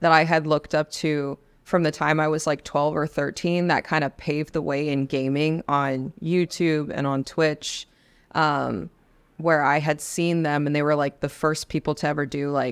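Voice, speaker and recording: A woman with a very deep, low pitch speaks at a moderate pace over a quiet background. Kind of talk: interview answer. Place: studio. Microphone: studio mic.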